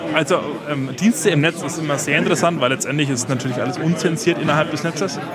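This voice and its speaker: Over crowd noise and audible room echo, a man talks at a very fast pace with ordinary pitch variation. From Franconia, Germany. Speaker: community network volunteer. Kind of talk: interview.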